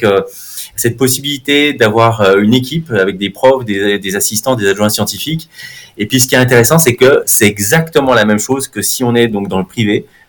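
A man's medium-pitched voice moves at a moderate pace, varying its pitch in an ordinary way while noticeable background noise carries on. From France, Haute-Savoie. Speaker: neuromarketing professor. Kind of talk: interview.

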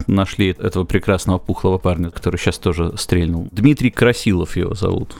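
A man speaks fairly quickly, with hardly any pauses. His pitch is very deep and low, with ordinary variation. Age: young. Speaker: quiz host and musician. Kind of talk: casual chat.

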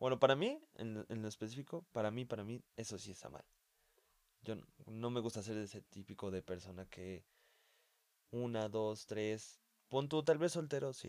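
In a Mexican accent, a man with a medium pitch speaks with long, frequent pauses. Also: ordinary pitch variation, moderate pace. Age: 20s. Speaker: guest, host's friend. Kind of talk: casual chat.

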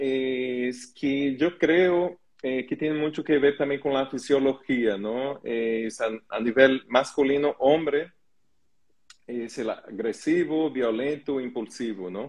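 At a very slow pace, a man with a Portuguese accent speaks at medium pitch with ordinary pitch variation. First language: Portuguese (speaking Spanish). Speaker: holistic therapist hosting a live stream. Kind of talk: casual panel discussion.

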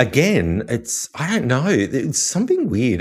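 With an Australian accent, this man speaks at a moderate pace. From Australia, Wollongong. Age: 40s. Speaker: chef and podcaster. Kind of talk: casual interview chat. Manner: halting, many fillers.

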